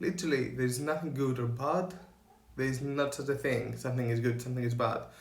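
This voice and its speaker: Somewhat breathy, a man with a Greek accent speaks amid audible room echo. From Greece. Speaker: spiritual coach and photographer. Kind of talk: motivational talk to camera. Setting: in front of camera.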